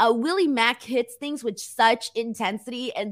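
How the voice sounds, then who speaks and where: A woman with a plain, everyday voice speaks with an American accent, fairly high pitch, lively intonation and a moderate pace. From United States, Mexican heritage. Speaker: wrestling YouTuber and co-host. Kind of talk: casual chat.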